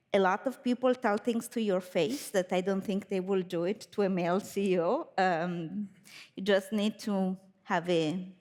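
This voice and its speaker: A woman's medium-pitched voice at a moderate pace, ordinary pitch variation, and a very clean recording with a silent background. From Italy. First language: Italian. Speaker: biotech company founder and CEO. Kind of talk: panel discussion.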